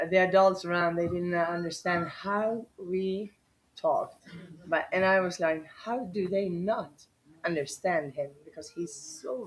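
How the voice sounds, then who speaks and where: With a Swedish accent, a woman talks at a fairly slow pace. Her pitch is medium, with ordinary variation. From Sweden (Borlänge). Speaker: dog rescuer. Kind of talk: interview. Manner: halting.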